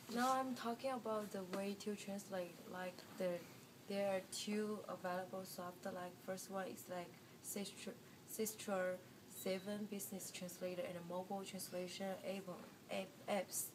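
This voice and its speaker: A woman speaks at a fairly slow pace with a Chinese accent. Her pitch is medium and her intonation fairly even, with noticeable background noise. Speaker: student presenter. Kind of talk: class presentation. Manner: halting.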